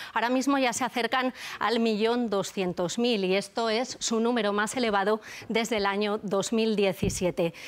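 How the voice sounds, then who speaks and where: A woman's unremarkable speaking voice, fairly high in pitch, with fairly even intonation, very even loudness and a moderate pace, in a very clean recording with a silent background. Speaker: economics editor on TV news. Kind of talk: news analysis.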